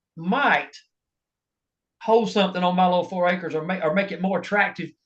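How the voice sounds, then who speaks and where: A man with an American accent speaks at a fairly quick pace. His voice is high, with ordinary pitch variation. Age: 60s. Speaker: bow hunter, hunting industry worker. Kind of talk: casual chat.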